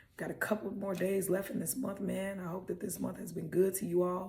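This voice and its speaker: A woman talks at a fairly quick pace, with audible room echo around her. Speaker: motivational podcast host. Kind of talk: motivational talk. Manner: casual, animated.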